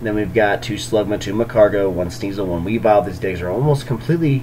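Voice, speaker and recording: Against noticeable background noise, a man with a fairly low voice talks at a very fast pace with lively intonation. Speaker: YouTuber covering card game tournaments. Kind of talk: casual commentary on deck lists. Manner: hesitant with many fillers.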